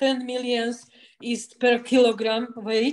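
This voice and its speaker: Her voice high-pitched and her intonation monotone and flat, a woman speaks at a very slow pace. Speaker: clinic representative. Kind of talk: video call presentation. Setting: video call.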